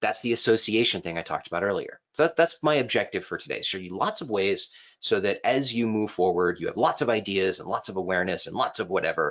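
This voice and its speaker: Over a quiet background, a man speaks at a very fast pace. His tone is animated. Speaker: software trainer. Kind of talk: online class lecture. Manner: casual, animated. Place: home room.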